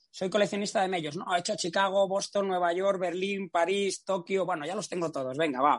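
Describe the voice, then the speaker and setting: Against a quiet background, a man with a high pitch talks at a fairly quick pace. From Spain, Valladolid. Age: 40s. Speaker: race announcer and trail running journalist. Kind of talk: casual interview chat.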